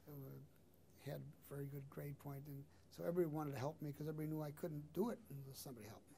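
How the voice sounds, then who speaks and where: A man with an American accent, a fairly high, somewhat breathy voice and a dark, mellow tone talks at a very fast pace with ordinary pitch variation. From Chicago, South Side (Hyde Park). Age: 70s. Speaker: lawyer and political aide. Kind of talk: oral history interview. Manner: conversational, hesitant with fillers.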